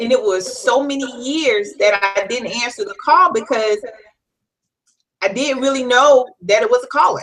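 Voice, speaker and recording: A woman speaks at a fairly slow pace in a high, bright, sharp tone. Her pitch swings very widely. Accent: slight Southern US. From US South, South Carolina (Florence). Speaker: life coach. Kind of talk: interview.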